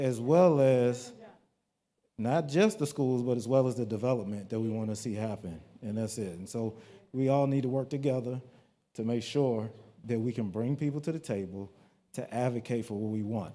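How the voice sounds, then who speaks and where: A man with an American accent talks at a medium pitch in a dark, mellow tone, with ordinary pitch variation. His pace is moderate, broken by long, frequent pauses. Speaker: community meeting organizer. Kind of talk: community meeting announcements. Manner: casual, halting with fillers.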